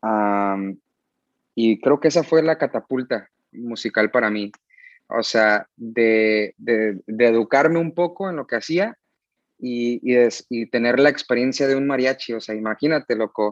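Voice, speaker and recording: A man speaks at a medium pitch and fairly slow pace in a plain, everyday voice. The sound is dry and close with no echo, and pitch variation is ordinary. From US, San Diego, California. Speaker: musician. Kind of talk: casual chat.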